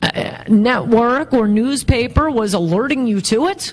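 A woman speaks very slowly in a high pitch. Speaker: interview guest. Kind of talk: interview answer. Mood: wry, occasionally laughing. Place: hall. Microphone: handheld.

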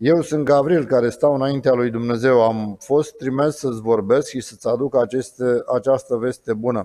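The man's tone is dark and mellow. His intonation remains fairly even. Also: quiet background. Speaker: scripture reader. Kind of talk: scripture reading. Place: church. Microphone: podium.

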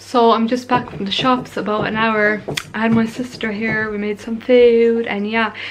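A woman's monotone, flat intonation against noticeable background noise. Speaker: vlogger. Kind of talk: casual vlog chat. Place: home room. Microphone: phone near.

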